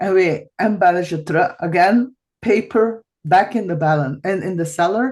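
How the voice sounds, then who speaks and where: This woman talks at a moderate pace with ordinary pitch variation. Her pitch sits in the medium range. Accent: Flemish. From Belgium (Flanders). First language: Dutch. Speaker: podcast host, massage therapist. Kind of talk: podcast interview. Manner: halting, searching for English words.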